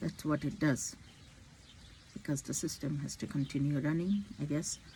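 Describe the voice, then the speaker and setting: A woman speaks with a very deep, low pitch and a dark, mellow tone. Her moderate pace carries vocal fry. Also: ordinary pitch variation. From India. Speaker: physician. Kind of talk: personal vlog monologue. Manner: halting.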